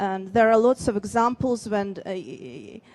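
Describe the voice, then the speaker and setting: A woman with a Russian accent at a fairly slow pace, her intonation fairly even. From Dagestan, Russia. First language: Avar. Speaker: writer. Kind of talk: panel Q&A at a book fair. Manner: halting, many fillers and restarts.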